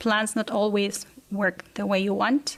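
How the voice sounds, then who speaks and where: This woman has a Spanish accent. Her pace is fairly slow. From Argentina. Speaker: exchange teacher. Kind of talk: interview.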